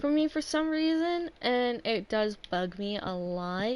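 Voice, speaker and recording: The voice is quiet, with very wide pitch swings. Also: woman. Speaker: gaming streamer. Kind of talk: casual gameplay livestream talk. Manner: halting, many fillers.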